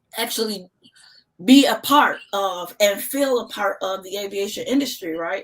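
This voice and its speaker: A woman speaks at a moderate pace in an animated tone, her medium pitch carried by lively intonation. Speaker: aviation nonprofit founder. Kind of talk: live-stream interview. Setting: live video stream.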